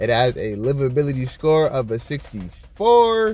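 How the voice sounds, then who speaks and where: With music in the background, a man of fairly high pitch speaks at a fairly slow pace with very wide pitch swings. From northern US. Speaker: YouTuber presenting city statistics. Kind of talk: casual vlog-style commentary.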